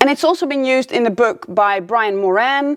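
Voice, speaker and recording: A woman with a non-native accent speaks at a moderate pace in a high, upbeat voice, recorded dry and close with no echo. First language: not English. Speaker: life coach. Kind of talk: video lesson. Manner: casual, upbeat.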